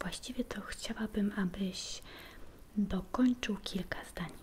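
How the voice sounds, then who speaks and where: Soft-spoken and very slow, the voice comes with light background noise. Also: woman. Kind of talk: role-play medical exam, soft-spoken. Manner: soft, close, hushed ASMR voice. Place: kitchen. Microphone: phone near.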